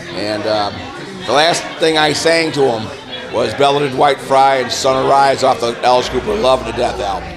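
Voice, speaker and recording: Through noticeable background noise and audible room echo, a man with an American accent speaks at medium pitch and a moderate pace, with ordinary pitch variation. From upstate New York, near Rochester. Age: 50s. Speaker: rock musician. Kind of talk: interview. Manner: hesitant, many fillers.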